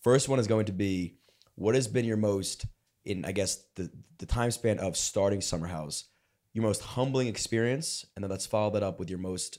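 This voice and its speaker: In an ordinary speaking voice, a man talks at a moderate pace and a fairly low pitch with ordinary pitch variation. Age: 20s. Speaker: podcast host. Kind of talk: casual interview chat.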